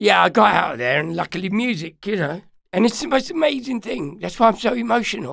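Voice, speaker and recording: A man talks at a very fast pace with a high pitch. His pitch swings very widely. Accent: London. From London. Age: 60s. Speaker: DJ and musician. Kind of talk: interview. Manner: loud; talkative storyteller.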